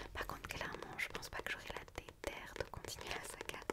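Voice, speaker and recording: A woman whispers at a fairly quick pace in a gentle tone. Noticeable background noise can be heard. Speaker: book reviewer and ASMR creator. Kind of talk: book review monologue, casual talk to camera. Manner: soft, whispered, gentle.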